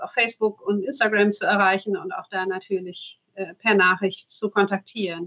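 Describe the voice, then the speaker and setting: Recorded dry and close with no echo, a woman speaks at medium pitch and a moderate pace with ordinary pitch variation. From Emsland, northern Germany. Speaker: local party spokesperson and radiologist. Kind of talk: casual interview.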